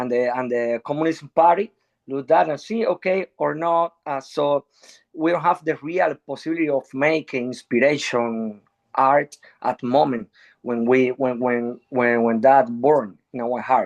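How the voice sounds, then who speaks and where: This man speaks at a fairly slow pace in a Spanish accent, his medium pitch moving with ordinary variation, and the sound is dry and close with no echo. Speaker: musician. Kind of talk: panel discussion. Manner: halting.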